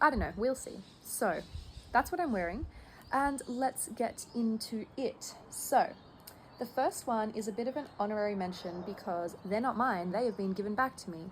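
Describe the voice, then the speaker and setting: Speaking with an Australian accent, a woman uses a fairly high pitch and lively intonation at a moderate pace. Her voice is somewhat breathy. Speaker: knitting vlogger. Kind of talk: casual vlog chat. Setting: outdoors near a highway at sunset.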